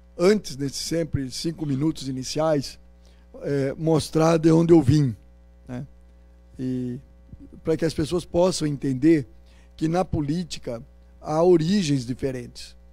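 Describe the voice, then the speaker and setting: Over music in the background, a man speaks at a fairly slow pace with long, frequent pauses and a fairly high pitch with ordinary variation. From Paraná, Brazil (Rolândia). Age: 60s. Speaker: politician, candidate. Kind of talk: campaign interview. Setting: university event with audience.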